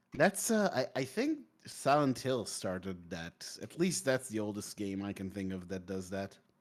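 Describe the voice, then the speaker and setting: A man with a fairly low voice speaks at a moderate pace. His intonation is lively. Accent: non-native. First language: not English. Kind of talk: casual chat. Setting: live stream. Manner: halting.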